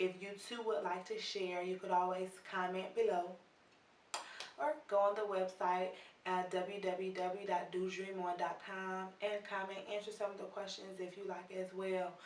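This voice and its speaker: Amid noticeable background noise and audible room echo, a woman speaks at a moderate pace in a medium pitch with monotone, flat intonation. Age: 20s. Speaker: video blogger, interviewer. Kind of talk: video introduction.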